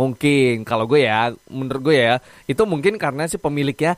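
A man speaks in a plain, everyday voice with lively intonation, recorded with a dry, close sound with no echo. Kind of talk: radio DJ patter, a recorded morning-show broadcast played back. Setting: studio. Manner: bubbly, upbeat, chatty; Jakarta slang mixed with English catchphrases; rapid-fire, excitable, jokes and laughs mid-sentence.

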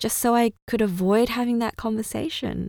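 Speaking at a moderate pace, a woman with an Australian accent has a fairly high voice. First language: Cantonese. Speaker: podcast host. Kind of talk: solo monologue podcast, personal storytelling.

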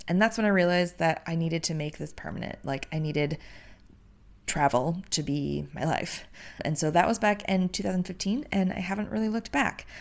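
This woman has an ordinary speaking voice with an American accent, fairly low pitch, ordinary pitch variation and a fairly quick pace, recorded very cleanly against a silent background. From US Midwest. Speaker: podcast host, travel agent and digital nomad. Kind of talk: casual solo podcast monologue.

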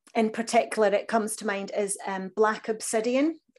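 In a Scottish accent, a woman talks at a moderate pace in a fairly high pitch with fairly even intonation. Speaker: crystal healing practitioner. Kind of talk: interview.

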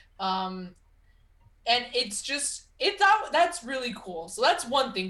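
Noticeable background noise sits behind a woman talking fairly slowly in a high pitch that swings very widely. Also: big swings in loudness. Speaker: wrestling podcast co-host. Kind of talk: casual chat.

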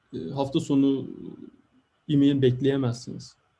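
The man's tone is dark and mellow, and somewhat breathy. He speaks at a fairly slow pace. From Turkey, İzmir (Karşıyaka). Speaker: materials science researcher. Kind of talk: interview.

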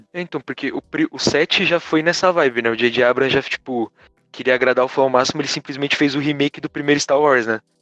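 A man talks at a very fast pace and a fairly high pitch, with fairly even intonation. Music plays in the background, and the sound is dry and close with no echo. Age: 20s. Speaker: podcast guest. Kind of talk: casual chat.

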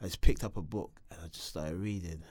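A man's dark, mellow tone with a South London accent, on a very clean recording with a silent background. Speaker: reality TV contestant. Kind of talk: life story interview.

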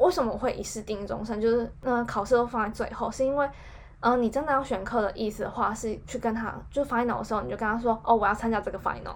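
A woman's fairly high voice, very fast and fairly even in intonation. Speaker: podcast co-host. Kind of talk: casual chat.

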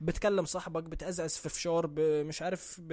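In an animated tone, a man delivers his lines. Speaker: podcast host. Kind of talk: casual monologue.

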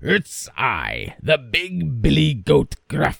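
In a put-on character voice, a man speaks with a very deep, low pitch at a very slow pace.

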